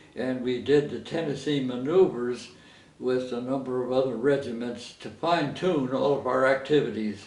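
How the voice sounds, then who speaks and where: With an American accent, this man talks at a moderate pace in a medium pitch with fairly even intonation over noticeable background noise. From Coronado, California. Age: 80s+. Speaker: war veteran. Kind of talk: interview answer.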